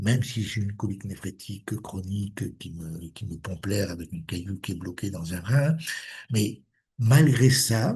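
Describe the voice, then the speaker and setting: The man's dark, mellow voice is fairly low in pitch and somewhat breathy, with ordinary pitch variation. He talks at a fairly slow pace, and his loudness swings widely. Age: 70s. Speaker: alternative medicine practitioner. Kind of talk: casual interview conversation.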